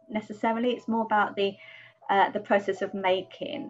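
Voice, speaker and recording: This woman speaks in an English accent. Her pitch is medium. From England. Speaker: artist. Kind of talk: interview monologue. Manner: hesitant, many fillers.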